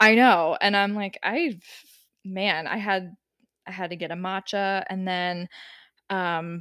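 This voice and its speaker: A woman with an ordinary speaking voice at medium pitch, fairly slow pace and fairly even intonation, in a very clean recording with a silent background and a dry, close sound with no echo. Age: 30s. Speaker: cannabis marketing podcast co-host. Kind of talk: casual chat.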